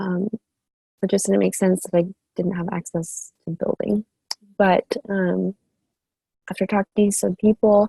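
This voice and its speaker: A woman speaks at a moderate pace and medium pitch, in a somewhat breathy, dark, mellow tone with flat, monotone intonation. The sound is dry and close with no echo, and her pauses are long and frequent. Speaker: student intern. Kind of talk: class presentation.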